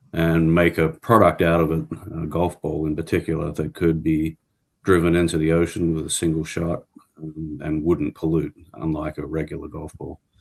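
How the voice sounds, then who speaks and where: A man's very deep, low voice with an Australian accent and monotone, flat intonation. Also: moderate pace. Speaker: professor. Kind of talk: interview.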